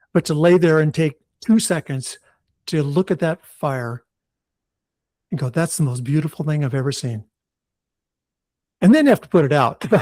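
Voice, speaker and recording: A man's somewhat breathy, fairly high-pitched voice at a moderate pace with ordinary pitch variation and long, frequent pauses, dry and close with no echo on a very clean recording with a silent background. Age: 70s. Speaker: author and retired firefighter. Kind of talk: interview. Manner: animated.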